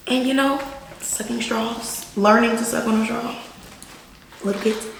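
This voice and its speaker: A woman with an American accent talks at a moderate pace in a fairly high pitch and an animated tone. Room echo can be heard, along with noticeable background noise. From Texas, Houston area (Missouri City). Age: 20s. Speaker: college graduate, former cheerleader, YouTube guest. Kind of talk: casual chat during eating video.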